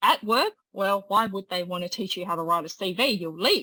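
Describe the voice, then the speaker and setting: A woman speaks in a plain, everyday voice at medium pitch and a fairly quick pace. The sound is dry and close, with no echo. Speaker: career coach. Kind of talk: workshop presentation.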